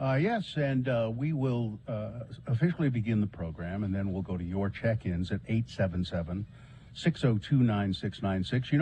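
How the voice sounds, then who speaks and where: With a dark, mellow tone and a fairly low pitch, a man speaks somewhat breathily at a moderate pace, using lively intonation. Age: old. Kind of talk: plain, measured radio host. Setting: radio show.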